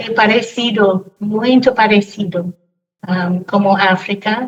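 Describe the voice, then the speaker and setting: Somewhat breathy and with fairly even intonation, a woman with an English accent speaks at a very slow pace. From Cameroon, raised in a family from abroad. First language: English (speaking Portuguese). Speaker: teacher. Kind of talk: casual podcast interview. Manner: halting, with hesitations.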